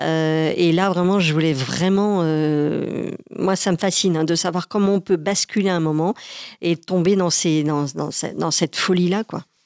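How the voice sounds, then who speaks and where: Dry and close with no echo, the very clean recording has a silent background and captures a woman speaking fairly slowly at a fairly low pitch with fairly even intonation. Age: 40s. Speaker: comedian. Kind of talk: testimony. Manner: halting.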